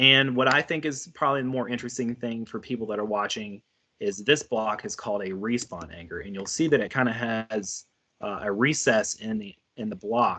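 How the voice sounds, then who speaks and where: Speaking at a fairly quick pace, a man has a bright, sharp tone, a medium pitch and ordinary pitch variation. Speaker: educational technology trainer. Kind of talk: live webinar tutorial. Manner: casual with many fillers.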